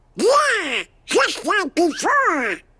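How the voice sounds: A squeaky, cartoonish character voice at an extremely high pitch, with very wide pitch swings.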